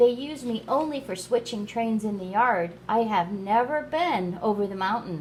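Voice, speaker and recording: A woman in a put-on character voice speaks at a fairly high pitch with hardly any pauses, clear background noise behind her. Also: moderate pace. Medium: read story. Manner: kind.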